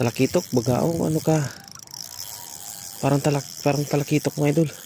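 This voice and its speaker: A fairly high-pitched male voice at a fairly quick pace, very even in loudness and fairly even in intonation, over noticeable background noise. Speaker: fishing vlogger. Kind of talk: live fishing commentary. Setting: outdoors. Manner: low energy voice.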